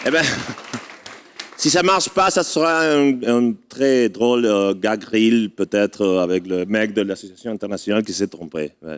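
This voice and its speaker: With a non-native accent, a man at fairly low pitch talks at a fairly slow pace with very wide pitch swings, his sound dry and close with no echo while a crowd murmurs behind him. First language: not French (speaking French). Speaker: adventure racing association representative. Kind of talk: ceremony speech. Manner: halting.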